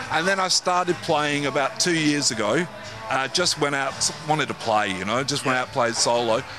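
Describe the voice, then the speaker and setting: Over music in the background, a man with a fairly high pitch speaks at a moderate pace. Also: lively intonation. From Manchester, England; moved to Perth at 13. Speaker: musician. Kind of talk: casual interview. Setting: music venue.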